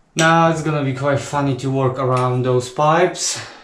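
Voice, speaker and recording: A man at a fairly high pitch, with fairly even intonation, a fairly slow pace and audible room echo. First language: not English. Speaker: DIY tradesman. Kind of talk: DIY tutorial. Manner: casual, halting.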